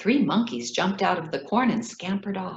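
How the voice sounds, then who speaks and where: A woman with an American accent sounds somewhat breathy and talks at a moderate pace. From Ethiopia. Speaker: children's author. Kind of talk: reading aloud.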